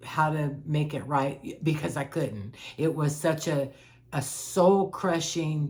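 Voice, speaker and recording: A woman speaks at a very slow pace in a very deep, low pitch, somewhat breathy and with fairly even intonation. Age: 60s. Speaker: life coach vlogger sharing personal experience. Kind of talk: personal testimony monologue. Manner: halting with repetitions.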